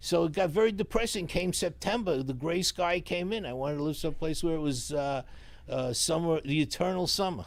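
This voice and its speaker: The delivery comes at a fairly quick pace with ordinary pitch variation. The speaker has a New York accent. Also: man. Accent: deep New York. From New York City, Astoria, Queens. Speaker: sign business owner. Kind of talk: casual interview. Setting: live stream.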